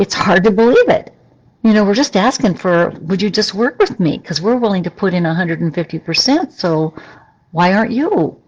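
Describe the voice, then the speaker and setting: Using an ordinary speaking voice, a woman at medium pitch talks at a moderate pace with lively intonation. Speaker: psychologist hosting a live Q&A. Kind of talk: live stream Q&A talk. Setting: livestream video.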